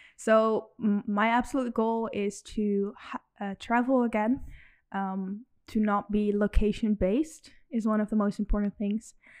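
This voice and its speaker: An ordinary speaking voice moves at a fairly slow pace with fairly even intonation, dry and close with no echo over a quiet background. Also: woman, fairly high pitch for a woman. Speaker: student entrepreneur. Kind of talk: interview.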